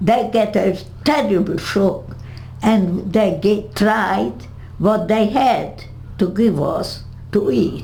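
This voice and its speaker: A woman with a Hungarian accent, medium in pitch with ordinary pitch variation, at a very slow pace with long, frequent pauses and very even loudness, plus audible room echo and music in the background. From Hungary. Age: 80s+. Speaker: Holocaust survivor. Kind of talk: interview. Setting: home. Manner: halting.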